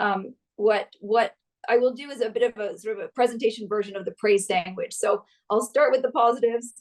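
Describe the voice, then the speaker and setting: Ordinary pitch variation marks this fairly quick delivery. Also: woman. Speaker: gender equality consultant. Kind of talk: webinar presentation. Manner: fast.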